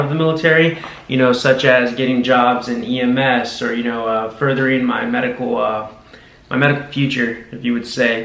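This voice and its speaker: A man with a Texan accent, medium pitch and fairly even intonation at a fairly quick pace, with noticeable background noise and audible room echo. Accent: Texan American English. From Texas, Brownsville / South Padre Island. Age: 20s. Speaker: army combat medic. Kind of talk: interview. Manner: casual, with many fillers.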